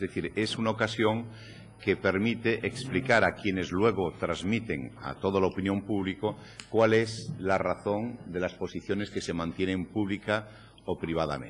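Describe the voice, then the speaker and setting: This man speaks with a Galician accent at a fairly low pitch. His pitch varies in an ordinary way. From Galicia, Spain. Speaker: head of a savings banks association. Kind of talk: conference talk. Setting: summer course lecture hall with audience.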